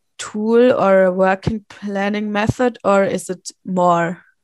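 A woman speaks at a medium pitch and a fairly slow pace with fairly even intonation. The sound is dry and close, with no echo. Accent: German. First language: German. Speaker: podcast co-host. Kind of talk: interview.

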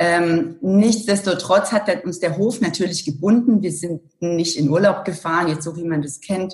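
A woman's fairly low, somewhat breathy voice at a fairly slow pace, with ordinary pitch variation. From Germany, Allgäu (rural Bavarian Swabia). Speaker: corporate communications director. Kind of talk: interview.

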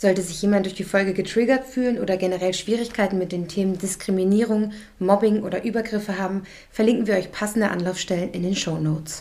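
Over noticeable background noise, a woman talks at a very fast pace with a medium pitch and fairly even intonation. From Germany. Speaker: podcast co-host. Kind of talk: scripted intro; casual chat.

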